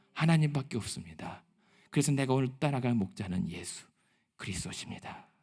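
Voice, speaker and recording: Somewhat breathy, a man of medium pitch talks at a fairly quick pace with very wide pitch swings. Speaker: pastor. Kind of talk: sermon.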